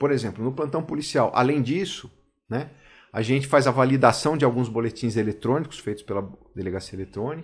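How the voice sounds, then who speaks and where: At a fairly quick pace, a man with a medium pitch sounds somewhat breathy on a very clean recording with a silent background. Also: ordinary pitch variation. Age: 40s. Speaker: police chief. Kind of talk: casual chat. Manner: hesitant, with fillers.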